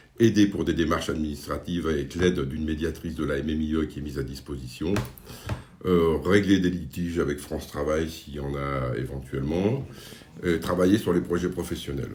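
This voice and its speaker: Very deep, low male voice with ordinary pitch variation at a fairly quick pace, over noticeable background noise and audible room echo. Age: 60s. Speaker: job workshop facilitator. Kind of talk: staff interview. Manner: hesitant, many fillers.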